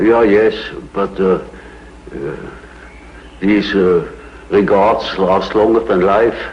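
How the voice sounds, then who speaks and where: A man with a Swiss German accent, fairly low in pitch, at a very slow pace with fairly even intonation, long and frequent pauses, and noticeable background noise. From Switzerland. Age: 80s+. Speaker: psychiatrist. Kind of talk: interview answer.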